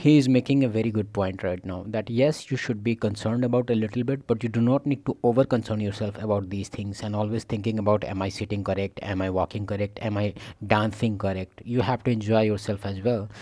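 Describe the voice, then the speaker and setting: A man's fairly low-pitched voice with a non-native accent and a dark, mellow tone, at a very fast pace with hardly any pauses and fairly even intonation, over a quiet background. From India. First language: not English. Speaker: reaction video creator. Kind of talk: reaction commentary.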